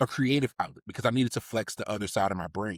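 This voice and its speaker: A man talks in a normal speaking voice with an American accent and medium pitch. His pitch varies in an ordinary way, and the sound is dry and close with no echo. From Baltimore, US. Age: 30s. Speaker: civil engineer and podcast co-host. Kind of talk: casual interview chat.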